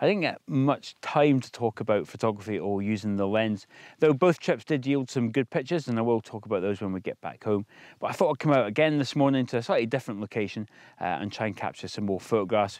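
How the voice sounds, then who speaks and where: A man at a very fast pace with lively intonation, dry sound with no echo, and a quiet background. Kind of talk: casual vlog chat. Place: open country. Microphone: phone near.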